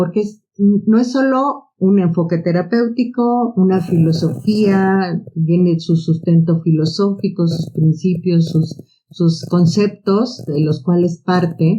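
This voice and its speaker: Very slow and somewhat breathy, a woman's fairly low voice has a dark, mellow tone and ordinary pitch variation. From Mexico City (Tepito). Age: 60s. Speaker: psychotherapist and biologist. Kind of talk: podcast interview.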